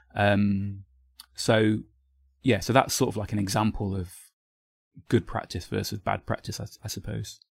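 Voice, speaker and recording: Against a silent background on a very clean recording, a man speaks at a fairly low pitch with fairly even intonation. His voice is somewhat breathy, broken by long, frequent pauses. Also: moderate pace. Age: 40s. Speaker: marketing agency founder. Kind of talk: casual interview.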